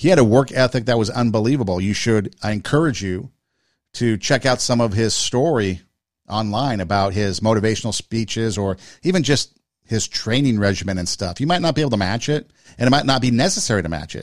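A man with a plain, everyday voice, medium pitch and a fairly quick pace, on a very clean recording with a silent background. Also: lively intonation. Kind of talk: pep talk. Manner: earnest, encouraging, motivational.

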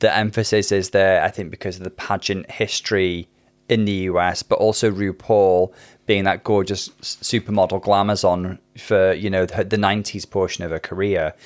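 In a very clean recording with a silent background, a man with a Welsh accent speaks at a moderate pace with a fairly low pitch and fairly even intonation. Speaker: psychiatrist and podcast co-host. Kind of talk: casual chat.

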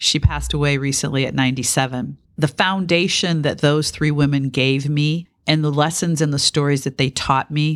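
A woman with an American accent, very deep and low in pitch, monotone and flat in intonation, at a fairly quick pace on a very clean recording with a silent background. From Detroit, US Midwest. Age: 50s. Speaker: business executive and lawyer. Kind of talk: interview.

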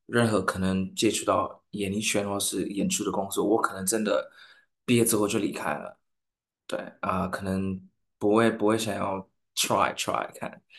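A man speaks at a fairly low pitch with a non-native accent. His intonation is monotone and flat, and the background is quiet. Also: moderate pace. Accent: foreign accent in Mandarin. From Saint Lucia. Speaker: singer. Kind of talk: interview. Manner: halting.

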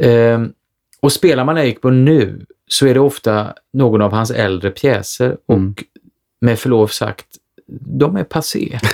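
A man with an ordinary speaking voice, medium pitch and ordinary pitch variation, at a fairly slow pace, in a dry, close sound with no echo. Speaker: stage actor. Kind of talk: casual chat.

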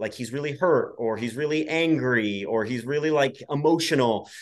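Against a quiet background, a man uses an ordinary speaking voice at a fairly quick pace with ordinary pitch variation. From US Midwest, Iowa. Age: 30s. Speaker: comedian and actor. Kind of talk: casual interview. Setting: video call.

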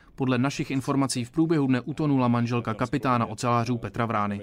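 Very fast speech from a man comes through in a very clean recording with a silent background. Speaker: sports reporter. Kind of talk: scripted narration.

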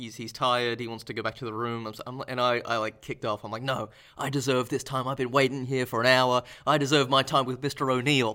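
A man talks at a very fast pace, his pitch medium. His intonation is monotone and flat, and his tone is bright and sharp. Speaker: podcast host. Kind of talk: casual chat.

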